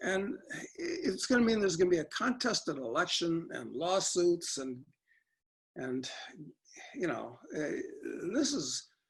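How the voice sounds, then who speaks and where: The speaker has a Chicago accent. The delivery is fairly slow. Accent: Chicago American. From US Midwest, Chicago. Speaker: political commentator guest. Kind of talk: interview discussion.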